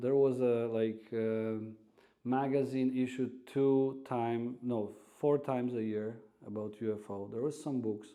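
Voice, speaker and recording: A man with a Polish accent speaks fairly slowly in a monotone, flat intonation, his tone dark and mellow, with audible room echo. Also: medium pitch for a man. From Poland, Warsaw. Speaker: radio host and restaurant owner. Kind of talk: casual interview chat. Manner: halting, many fillers.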